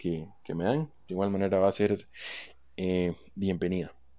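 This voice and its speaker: Over a quiet background, a man's voice comes through at a fairly low pitch. His tone is dark and mellow. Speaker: podcast host and comedian. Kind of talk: solo monologue podcast. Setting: at home.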